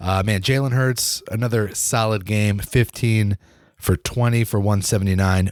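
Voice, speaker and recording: Fairly low-pitched and fairly slow, a man speaks in a plain, everyday voice, recorded dry and close with no echo on a very clean recording with a silent background. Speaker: sports podcast host. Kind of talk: casual solo podcast chat.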